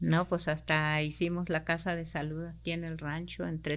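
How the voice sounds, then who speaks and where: The recording is very clean, with a silent background, as a woman talks at a moderate pace. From Mexico, Sierra Tarahumara, Chihuahua. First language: Rarámuri (speaking Spanish). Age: 60s. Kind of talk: interview.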